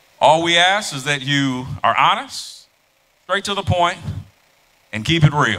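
Loud and lively in intonation, a man speaks with a bright, sharp tone. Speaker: event moderator. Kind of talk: live event moderation. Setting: stage with audience. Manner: animated.

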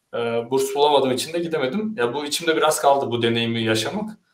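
Speaking at a fairly quick pace with ordinary pitch variation, a man is heard with audible room echo. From Turkey, Ankara. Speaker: software engineer. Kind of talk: online panel discussion. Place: home room.

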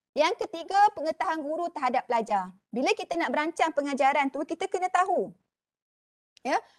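Her pitch extremely high and swinging very widely, a woman talks at a fairly quick pace. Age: 40s. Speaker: university lecturer in education. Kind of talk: lecture. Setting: online webinar. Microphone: video call.

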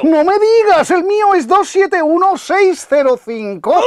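This is a put-on character voice at an extremely high pitch. The delivery is fairly slow. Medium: dub.

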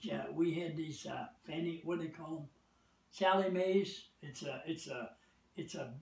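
A high-pitched man with an American accent speaks at a fairly slow pace with ordinary pitch variation, and audible room echo fills the space. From United States. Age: 80s+. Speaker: war veteran. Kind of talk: interview answer. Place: home room. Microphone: camera far.

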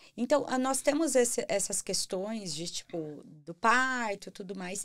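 Intonation is lively throughout. A woman delivers her words very slowly. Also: quiet background. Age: 30s. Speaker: podcast host. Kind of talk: casual interview. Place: studio. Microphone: studio mic.

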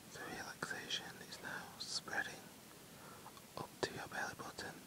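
Someone whispers over noticeable background noise. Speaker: ASMR relaxation guide. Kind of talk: sleep relaxation guided meditation. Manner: slow, soft-spoken.

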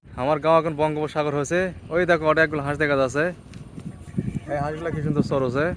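Over noticeable background noise, a man with a fairly high voice talks in a flat, monotone way. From Bangladesh, Dinajpur. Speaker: village vlogger. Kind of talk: casual vlog walkthrough. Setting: outdoors.

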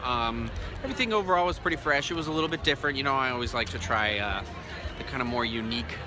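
A man speaks at a very fast pace with very wide pitch swings. The sound is dry with no echo, though background noise is noticeable. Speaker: food vlogger. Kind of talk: casual vlog chat. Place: cafe. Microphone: phone near.

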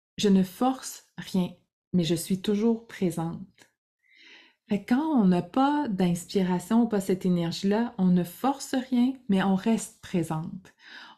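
A woman speaks at a very slow pace in a dark, mellow, somewhat breathy tone. Her loudness stays very even, her pitch varies in an ordinary way, and the background is quiet. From Quebec. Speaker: creativity coach. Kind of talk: casual monologue to camera; casual vlog chat. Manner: halting, many fillers. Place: home room.

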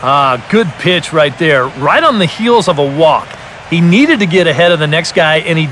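A man with a high voice talks at a moderate pace with ordinary pitch variation over noticeable background noise. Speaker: baseball color commentator. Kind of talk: live sports commentary (video game audio). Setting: studio.

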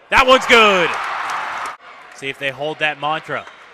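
A man talks in an animated tone with crowd noise in the background. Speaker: basketball play-by-play announcer. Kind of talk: live sports commentary, play-by-play. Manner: animated, rising excitement on big plays and the final buzzer.

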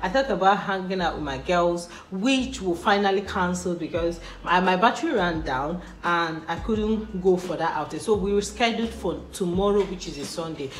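A woman at a moderate pace with ordinary pitch variation, audible room echo and faint music in the background. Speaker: vlogger. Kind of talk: casual vlog chat. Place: home room. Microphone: phone near.

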